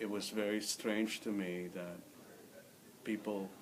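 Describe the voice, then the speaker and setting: With a Filipino accent, a man speaks at a very slow pace and fairly low pitch. His intonation is fairly even over noticeable background noise. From Philippines, Manila. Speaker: immigrant interviewee, former English teacher. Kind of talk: interview.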